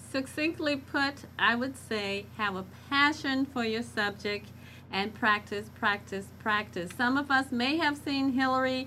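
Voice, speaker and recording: With an American accent, a woman speaks fairly slowly in a high pitch, her tone bright and sharp and her pitch variation ordinary. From US South, Arkansas. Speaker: speech coach. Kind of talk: panel discussion.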